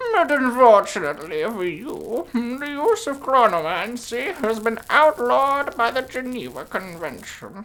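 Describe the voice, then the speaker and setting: In a put-on character voice with a fairly high pitch, the speaker goes at a moderate pace with hardly any pauses. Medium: read story. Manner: hesitant "mm"s, tottering and doddering.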